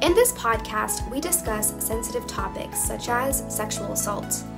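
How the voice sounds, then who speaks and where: Music in the background behind a woman speaking at a moderate pace. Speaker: podcast host, education coordinator. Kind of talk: podcast intro.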